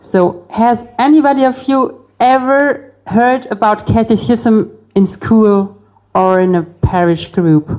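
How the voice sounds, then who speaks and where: A woman with a Bavarian accent talks at a very slow pace, her tone dark and mellow, her intonation lively, and her loudness very even. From Bavaria, Germany. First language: German. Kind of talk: public talk. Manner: hesitant, many fillers.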